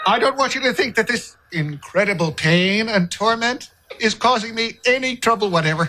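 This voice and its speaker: A man speaks in a raised, projected voice at a moderate pace with lively intonation. Light background noise can be heard. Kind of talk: comedic acted dialogue. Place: studio.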